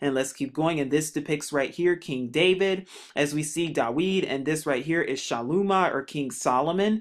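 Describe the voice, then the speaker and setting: A plain, everyday voice at a moderate pace, with ordinary pitch variation, in a very clean recording with a silent background. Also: man. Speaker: religious video narrator. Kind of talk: narrated slideshow commentary.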